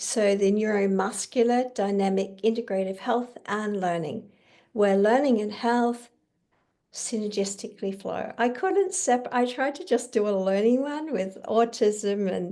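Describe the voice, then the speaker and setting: A woman's fairly high, dark, mellow voice at a fairly slow pace, with ordinary pitch variation and audible room echo. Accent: Australian. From Australia. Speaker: kinesiologist and educator. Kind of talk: online conference presentation.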